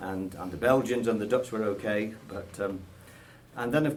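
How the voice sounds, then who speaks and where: A man with an English accent speaks with ordinary pitch variation amid audible room echo. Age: 60s. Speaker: association member, army veteran. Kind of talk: radio interview. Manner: hesitant.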